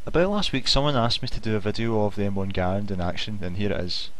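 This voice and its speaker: Someone talks at a very fast pace with fairly even intonation over noticeable background noise. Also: man. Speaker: gaming video maker. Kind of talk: video game tutorial narration.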